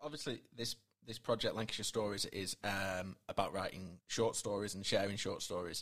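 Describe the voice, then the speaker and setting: An ordinary speaking voice, a man's, fairly low in pitch with ordinary pitch variation and a moderate pace. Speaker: podcast host. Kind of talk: interview.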